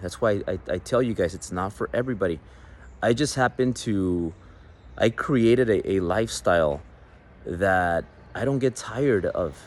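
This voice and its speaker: Speaking at a moderate pace, a man with a Mexican accent has a fairly low pitch. His intonation is lively, broken by long, frequent pauses. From Mexican American. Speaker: business coach, entrepreneur. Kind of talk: motivational business talk.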